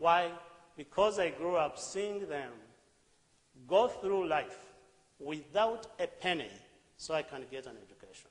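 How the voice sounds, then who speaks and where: A man with a Ugandan accent at a high pitch, with ordinary pitch variation, big swings in loudness, and long, frequent pauses at a fairly slow pace, in audible room echo. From Uganda, rural village. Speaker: charity founder. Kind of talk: talk on stage. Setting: stage with audience.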